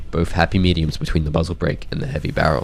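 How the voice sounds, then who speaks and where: Over background music, a man talks with lively intonation in a very deep, low voice. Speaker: video game guide creator. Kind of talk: game weapon guide narration.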